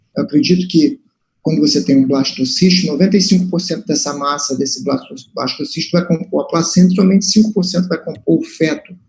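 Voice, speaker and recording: Speaking very fast with a Brazilian Portuguese accent, a man has a high pitch and lively intonation. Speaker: moderator at medical seminar. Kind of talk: question at academic seminar. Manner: halting. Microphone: transmission problems.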